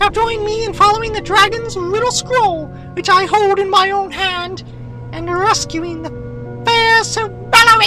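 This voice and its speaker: Clear background music beneath a put-on character voice at a middling tempo. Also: woman, extremely high pitch for a woman. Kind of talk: formal high-fantasy speech. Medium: audio drama. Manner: stately, formal.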